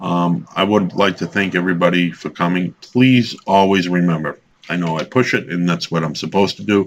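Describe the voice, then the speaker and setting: A man's very deep, low voice at a moderate pace. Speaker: religious video blogger. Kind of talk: monologue lesson. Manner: loud; halting.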